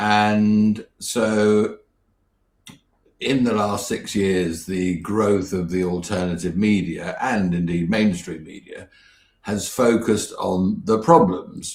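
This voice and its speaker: With a British accent, a man talks at a very slow pace. His pitch is fairly low. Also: ordinary pitch variation. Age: 60s. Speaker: business mentor and campaign founder. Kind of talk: interview.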